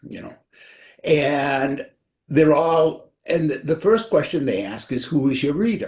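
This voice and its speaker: A man speaks at a fairly slow pace with a fairly high pitch. His voice carries vocal fry. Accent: New England. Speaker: author. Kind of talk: casual chat.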